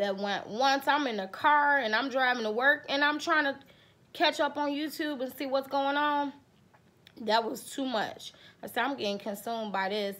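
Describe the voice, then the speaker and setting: A woman speaks in a bright, sharp tone at a high pitch. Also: ordinary pitch variation, moderate pace. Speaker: vlogger. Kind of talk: casual vlog chat. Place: home room. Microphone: phone near.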